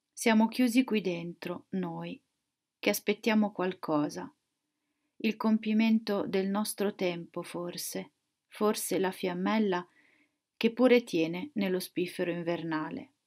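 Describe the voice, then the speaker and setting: In a quiet background, a woman speaks at a very slow pace with long, frequent pauses and ordinary pitch variation. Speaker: poet. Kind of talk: poetry reading aloud. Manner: slow, contemplative, measured. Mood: quiet, reflective, calm. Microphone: webcam.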